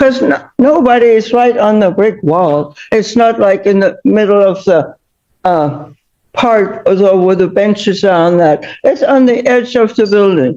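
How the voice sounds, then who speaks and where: A woman speaks at medium pitch in a dark, mellow tone. Her loudness stays very even. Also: fairly slow pace. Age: 80s+. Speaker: tenant in court. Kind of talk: court testimony. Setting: courtroom.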